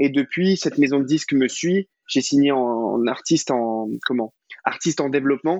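The speaker is a man with a fairly high voice. He keeps a moderate pace and ordinary pitch variation. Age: 20s. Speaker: singer-songwriter. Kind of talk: interview. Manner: casual, hesitant with fillers.

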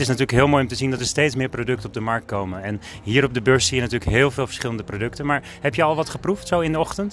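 A man speaks at a medium pitch. The pitch varies in an ordinary way. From Netherlands, Alkmaar. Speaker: podcast interviewer. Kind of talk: casual interview.

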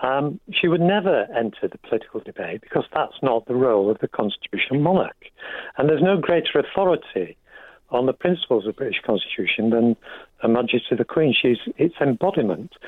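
A man with an English accent speaks at a fairly quick pace, his fairly high voice carrying a lively intonation. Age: 70s. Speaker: radio caller. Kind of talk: radio phone-in. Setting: phone call.

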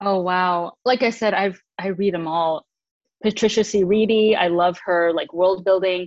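A woman with an American accent uses a normal speaking voice at a medium pitch. She goes at a fairly slow pace with fairly even intonation. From Michigan. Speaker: author and voice actress. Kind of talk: casual interview.

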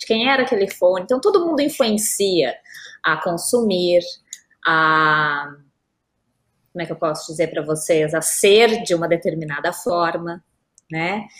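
A woman with a southern Brazilian accent speaks at a fairly slow pace, leaving long, frequent pauses. Her fairly low voice has lively intonation. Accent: gaúcho. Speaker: lawyer specialising in digital law. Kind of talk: interview. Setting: live stream.

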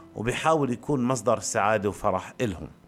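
With music in the background, a man of medium pitch speaks at a fairly slow pace with lively intonation. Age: 40s. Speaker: podcaster. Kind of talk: improvised personal monologue. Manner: halting, many pauses.

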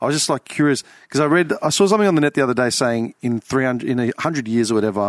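Delivered at a very fast pace, the speech has a dry, close sound with no echo on a very clean recording with a silent background. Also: man. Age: 20s. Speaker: podcast host. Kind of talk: casual chat. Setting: studio.

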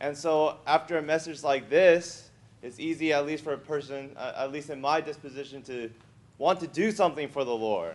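A man's unremarkable speaking voice, fairly high in pitch, at a moderate pace with ordinary pitch variation. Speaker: church member. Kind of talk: testimony. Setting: church meeting with audience.

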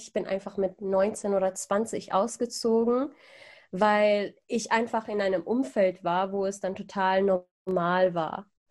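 A woman talks with fairly even intonation. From Iran (Persian roots), came to Germany. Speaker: podcaster. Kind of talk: casual interview chat. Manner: hesitant, many fillers.

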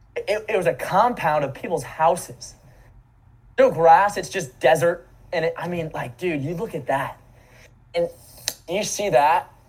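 Long, frequent pauses break up speech delivered at a fairly slow pace with ordinary pitch variation. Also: man, high pitch for a man. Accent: American. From US South, Florida. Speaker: commercial real estate investor. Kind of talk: casual chat.

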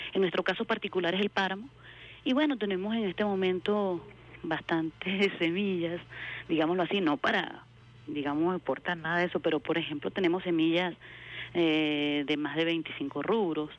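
Keeping very even loudness, a woman with an ordinary speaking voice talks at a moderate pace, fairly low in pitch, with ordinary pitch variation. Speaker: agricultural engineer. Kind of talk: radio interview.

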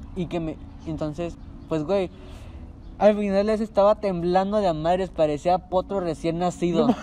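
Against noticeable background noise, a man with a Mexican accent and a high pitch talks at a fairly slow pace with fairly even intonation and long, frequent pauses. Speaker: podcast host. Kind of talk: casual chat.

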